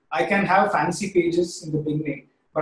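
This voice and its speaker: A man's high voice with an Indian accent, monotone, flat intonation and audible room echo. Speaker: creative director; presenter. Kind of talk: webinar presentation. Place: home room. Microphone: webcam.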